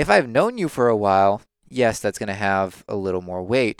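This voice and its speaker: In a plain, everyday voice, a man speaks at a moderate pace with lively intonation, recorded very cleanly with a silent background and a dry, close sound with no echo. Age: 20s. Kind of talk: casual chat. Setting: studio.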